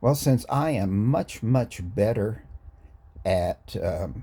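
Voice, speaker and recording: A man speaks in a dark, mellow tone with vocal fry. His pitch swings very widely. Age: 60s. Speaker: gaming YouTuber. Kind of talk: casual gaming talk to camera. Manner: casual, hesitant with fillers.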